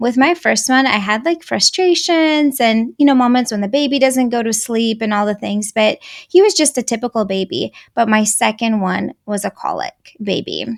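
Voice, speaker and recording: Speaking at a moderate pace in a Russian accent, a woman has a fairly high pitch and lively intonation. The recording is very clean, with a silent background. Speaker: anger management coach for moms. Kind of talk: podcast interview.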